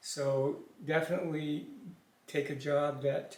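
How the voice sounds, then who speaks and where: A man speaks with a fairly high pitch and a somewhat breathy voice. His intonation stays fairly even, and room echo is audible. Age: 70s. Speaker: father of the channel owner. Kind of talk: casual interview. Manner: hesitant.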